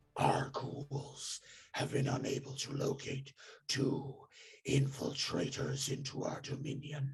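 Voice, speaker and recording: Putting on a growling character voice, a man speaks at a medium pitch, fairly slowly, in a monotone, flat way. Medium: actual play. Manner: imperious, cold.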